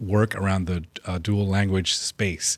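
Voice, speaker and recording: A man talks with a Spanish accent. His pitch sits fairly low. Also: very clean recording, silent background. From California. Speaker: state legislator hosting a policy interview. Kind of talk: interview.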